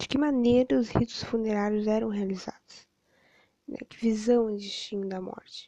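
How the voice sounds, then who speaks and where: Delivered at a moderate pace, a plain, everyday voice shows ordinary pitch variation and big swings in loudness. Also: woman, fairly high pitch for a woman. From southern Brazil, Rio Grande. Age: 20s. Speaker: history student. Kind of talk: educational podcast monologue.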